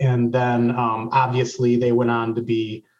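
With a somewhat breathy voice, a man speaks in an American accent. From Racine, Wisconsin. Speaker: W Club board member, former college athlete. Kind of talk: casual interview.

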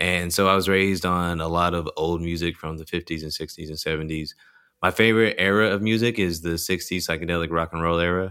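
With a Texan accent, a man talks very fast in a very deep, low pitch and a bright, sharp tone, his intonation fairly even, on a very clean recording with a silent background. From rural Texas. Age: 20s. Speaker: stand-up comedian. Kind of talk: casual chat.

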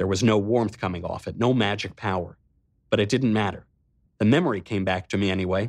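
Plain reading aloud is heard here. Behind it, the background is quiet.

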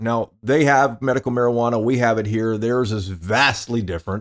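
Medium in pitch, a man talks with a Texan accent. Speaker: podcast host. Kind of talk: casual conversation.

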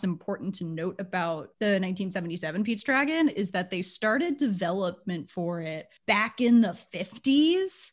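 Over a quiet background, a woman at medium pitch speaks with lively intonation. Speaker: podcast host. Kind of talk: casual chat.

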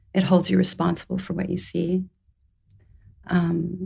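At a moderate pace, a woman speaks with a fairly low pitch in a somewhat breathy voice. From Saudi Arabia. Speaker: storyteller and poet. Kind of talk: casual interview. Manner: hesitant, reflective.

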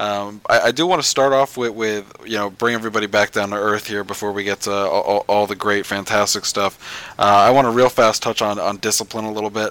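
Talking at a fairly quick pace with hardly any pauses, a man uses an ordinary speaking voice, fairly low in pitch and fairly even in intonation. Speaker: podcast host. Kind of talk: casual recap chat.

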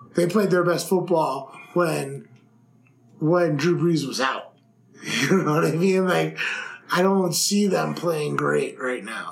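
This man's voice sits high for a man, with ordinary pitch variation, a very slow pace and long, frequent pauses, over audible room echo and noticeable background noise. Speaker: sports betting podcast co-host. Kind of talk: casual chat.

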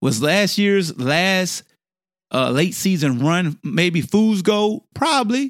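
The very clean recording has a silent background and a dry, close sound with no echo. A man speaks at a very slow pace in a high pitch, with very wide pitch swings and very even loudness. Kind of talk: angry rant. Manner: heated, loud, emphatic, cussing.

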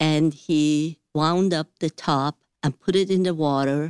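A woman with an unremarkable speaking voice talks at a fairly slow pace with a fairly low pitch. Her pitch variation is ordinary, and the recording is very clean with a silent background. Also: dry, close sound with no echo. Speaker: physician and business owner. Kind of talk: radio interview.

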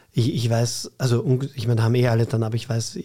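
Somewhat breathy, dark and mellow in tone, delivered at a moderate pace. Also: man. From Vienna, Austria (Floridsdorf). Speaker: cabaret artist and teacher. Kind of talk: casual interview chat.

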